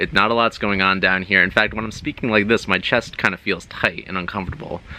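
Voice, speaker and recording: Over light background noise, a man puts on a guttural character voice, fairly low in pitch, racing at a very fast pace with fairly even intonation. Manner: uncomfortable, strained.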